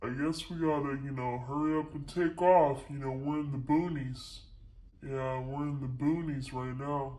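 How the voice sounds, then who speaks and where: A man puts on a character voice with a fairly high pitch. He keeps a moderate pace and a flat, monotone delivery. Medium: solo performance.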